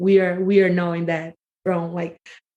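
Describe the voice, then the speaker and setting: A woman speaks at a moderate pace with a fairly low pitch. She has a strong Brazilian accent. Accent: Brazilian Portuguese accent in English, heavy. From Brazil, Rio area. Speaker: podcast guest. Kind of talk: casual chat. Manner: halting, filler-heavy.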